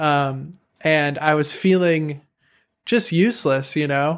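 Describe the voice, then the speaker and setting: A man with a Chicago accent, fairly high-pitched, at a fairly slow pace. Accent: Chicago American English. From US Midwest, Chicago. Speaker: woodwind player and composer, YouTuber. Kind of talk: casual interview. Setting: video call.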